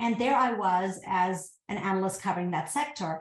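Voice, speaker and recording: Somewhat breathy speech in an American accent, with ordinary pitch variation, a moderate pace and audible room echo. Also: woman. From US South, Georgia. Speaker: tech company founder and CEO. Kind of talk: interview.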